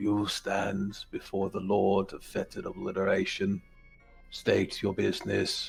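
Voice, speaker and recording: Over faint background music, a man puts on a character voice and speaks at a fairly slow pace. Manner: commanding, ominous.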